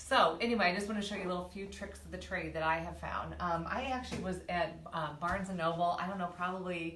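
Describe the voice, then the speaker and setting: Talking at a very fast pace with hardly any pauses, a woman with a fairly low pitch keeps a fairly even intonation amid noticeable background noise and audible room echo. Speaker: interior designer. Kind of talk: tutorial; casual chat. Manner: halting.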